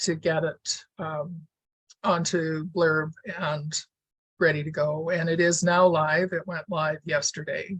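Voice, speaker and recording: Her voice is fairly low-pitched and somewhat breathy, with flat, monotone intonation. This woman talks at a fairly slow pace. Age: 70s. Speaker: weaver and author. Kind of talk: casual talk to an online audience.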